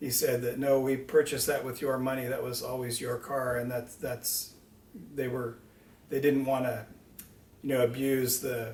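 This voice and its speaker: In an American accent, a man speaks at a moderate pace with a medium pitch, monotone, flat intonation and long, frequent pauses, with audible room echo around him. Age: 60s. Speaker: car owner telling personal story. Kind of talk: personal storytelling. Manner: casual, with hesitations.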